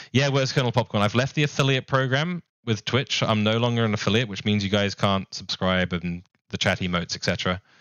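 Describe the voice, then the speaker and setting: A man speaks fairly quickly in a New Zealand accent. His pitch variation is ordinary. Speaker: streamer. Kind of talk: casual live stream chat. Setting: live stream. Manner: casual, filler-heavy.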